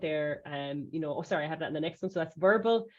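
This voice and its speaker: With an Irish accent, a woman talks at a very fast pace with ordinary pitch variation. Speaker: safeguarding trainer. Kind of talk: webinar presentation. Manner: hesitant, with many fillers.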